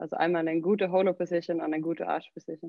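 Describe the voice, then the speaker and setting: In a Swedish accent, a woman talks at a fairly quick pace with a fairly low pitch and flat, monotone intonation. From southern Sweden. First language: Swedish (speaking German). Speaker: CrossFit gym owner and coach. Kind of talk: casual interview.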